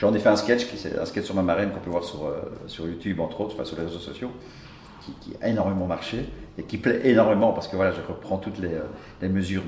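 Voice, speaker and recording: A man with a very deep, low pitch talks at a very fast pace with ordinary pitch variation. Noticeable background noise and audible room echo are present. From Brussels, Belgium. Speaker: comedian. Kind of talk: interview.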